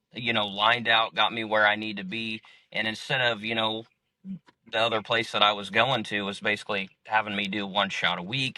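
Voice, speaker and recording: A man at medium pitch and a moderate pace, in a normal speaking voice. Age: 30s. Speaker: clinic patient. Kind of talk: interview answer. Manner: casual, rambling.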